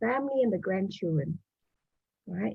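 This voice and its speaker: A woman's pitch swings very widely in a somewhat breathy voice. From Malaysia. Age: 70s. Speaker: business owner and doctor. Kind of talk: interview.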